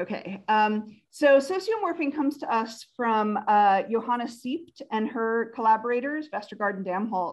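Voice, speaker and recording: A woman with an unremarkable speaking voice talks at a moderate pace in a fairly high pitch, her intonation lively and hardly any pauses breaking it, against a quiet background. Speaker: academic researcher. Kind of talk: conference talk.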